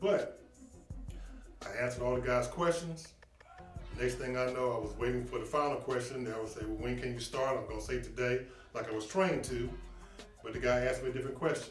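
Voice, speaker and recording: A man speaks with long, frequent pauses. Music plays in the background. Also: fairly quick pace. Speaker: sports recruiter, former athlete. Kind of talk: promotional talk to camera. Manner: enthusiastic, conversational.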